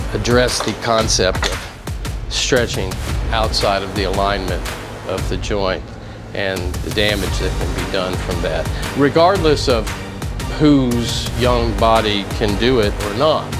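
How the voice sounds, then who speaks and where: Music plays in the background and the room echo is audible. The speech moves at a fairly slow pace. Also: man. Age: 60s. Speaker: fitness equipment inventor. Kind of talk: tutorial. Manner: halting.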